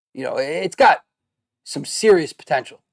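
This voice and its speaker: A man with a Brooklyn accent talks at a fairly quick pace. The sound is dry and close with no echo, and the recording is very clean over a silent background. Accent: New York (Brooklyn). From Brooklyn, New York. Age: 30s. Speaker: gaming streamer. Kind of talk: casual commentary. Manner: halting, many fillers.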